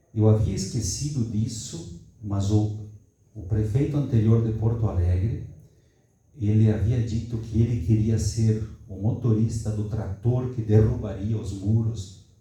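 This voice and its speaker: A man talks fairly slowly with fairly level intonation, and audible echo fills the room around him. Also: fairly low pitch for a man. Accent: southern Brazilian. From southern Brazil, Rio Grande do Sul. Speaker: academic seminar participant. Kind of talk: discussion comment in academic Q&A. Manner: halting, with false starts.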